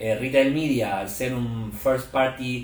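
A man at a moderate pace with an Argentine accent, plus noticeable background noise and audible room echo. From Argentina. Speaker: media executive at a tech company. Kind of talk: interview conversation.

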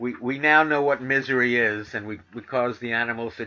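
This man speaks with an American accent at a moderate pace and medium pitch. His tone is bright and sharp, with fairly even intonation. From New York City. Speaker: vegan talk radio host. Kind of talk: talk radio show and interview.

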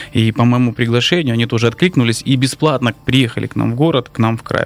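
Very fast and at medium pitch, a man speaks with fairly even intonation over noticeable background noise. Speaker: city council member and athlete. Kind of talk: radio talk show discussion. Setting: studio.

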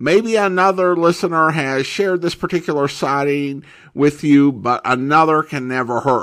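In a very clean recording with a silent background, a man with an American accent speaks at a fairly high pitch and moderate pace, using ordinary pitch variation and a normal speaking voice. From Boise, Idaho, US. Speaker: podcast host. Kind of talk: podcast intro and commentary, casual.

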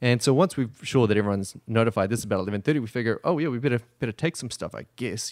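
Very fast speech from a man, with ordinary pitch variation. The recording is very clean with a silent background, dry and close with no echo. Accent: New Zealand. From New Zealand. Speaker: assistant winemaker. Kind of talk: casual chat. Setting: studio.

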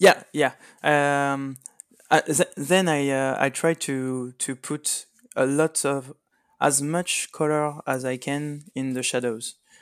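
A man with a French accent speaks very slowly at a fairly high pitch, his intonation monotone and flat. The recording is very clean with a silent background. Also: dry, close sound with no echo. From France. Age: 30s. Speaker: miniatures painter. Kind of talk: interview. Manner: halting.

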